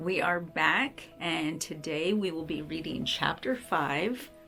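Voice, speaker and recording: With music playing behind her, a woman talks very slowly in a very deep, low voice, her pitch moving in an ordinary way. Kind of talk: casual talk to camera. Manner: gentle, tender.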